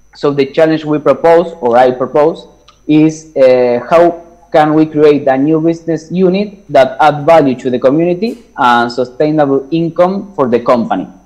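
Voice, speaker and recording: A man with a Spanish accent talks at a moderate pace. His pitch is fairly high, with ordinary pitch variation. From Argentina. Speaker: startup founder pitching a challenge. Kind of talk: pitch presentation. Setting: video call. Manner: halting.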